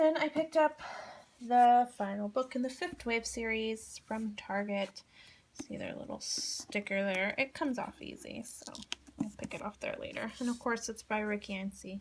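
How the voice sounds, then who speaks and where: A woman speaks in a normal speaking voice at a fairly high pitch, with ordinary pitch variation and a moderate pace. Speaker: book vlogger. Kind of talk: casual chat.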